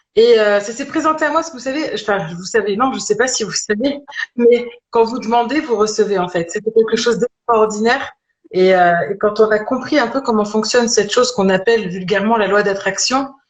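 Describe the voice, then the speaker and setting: A fairly quick pace with ordinary pitch variation. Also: woman, fairly high pitch for a woman. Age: 40s. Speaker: holistic medicine practitioner-teacher. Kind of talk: interview, personal story. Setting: live stream video call. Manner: hesitant, many fillers.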